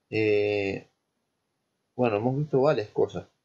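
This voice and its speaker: A man's somewhat breathy, dark, mellow voice at a very slow pace. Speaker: lecturer in petroleum engineering. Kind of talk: lecture.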